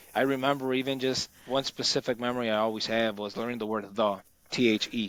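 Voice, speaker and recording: Speaking in a medium pitch with a Spanish accent, a man keeps a monotone, flat intonation. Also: fairly quick pace, very clean recording, silent background. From Chicago, US. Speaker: automotive technician. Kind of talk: casual podcast conversation. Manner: halting, many false starts.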